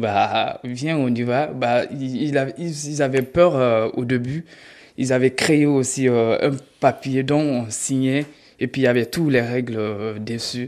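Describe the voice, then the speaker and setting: Here a man talks at a very slow pace with medium pitch. His intonation is fairly even, and the background is quiet. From Guinea. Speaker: former migrant, beneficiary of charity. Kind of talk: interview testimony. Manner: halting, many fillers.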